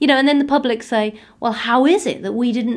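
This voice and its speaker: A woman with an East Anglian accent talks at a fairly quick pace with a fairly high pitch, in a very clean recording with a silent background. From England, Suffolk. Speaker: crime author and former probation officer. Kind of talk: interview.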